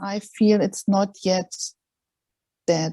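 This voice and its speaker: Very slow speech comes through with a dark, mellow tone in a dry, close sound with no echo. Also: woman. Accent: non-native. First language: not English. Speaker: palliative care worker. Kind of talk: casual chat.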